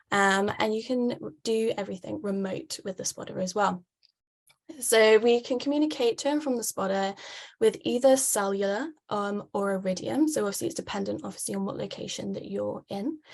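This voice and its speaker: A British accent at a fairly quick pace, with ordinary pitch variation. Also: woman, medium pitch for a woman. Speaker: wave buoy sales representative. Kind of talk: webinar presentation. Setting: online webinar. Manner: frequent filler words (um).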